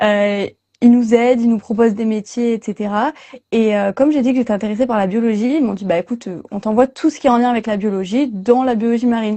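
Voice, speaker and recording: A fairly high-pitched woman's voice, dark and mellow in tone, with fairly even intonation at a very fast pace over a quiet background. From southwest France. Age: 20s. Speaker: marine biology student. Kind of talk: interview. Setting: livestream. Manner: hesitant, many fillers.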